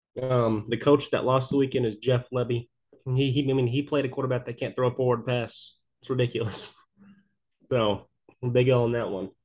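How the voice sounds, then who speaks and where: A somewhat breathy, medium-pitched male voice at a fairly quick pace, in monotone, flat intonation. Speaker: podcast co-host. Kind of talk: casual sports chat.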